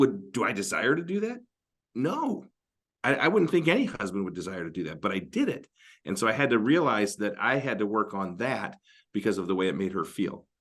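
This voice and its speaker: Against a quiet background, a man with an American accent and a fairly low pitch talks at a fairly quick pace with very wide pitch swings. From Northern Michigan. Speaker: marriage podcast co-host. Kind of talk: casual advice discussion.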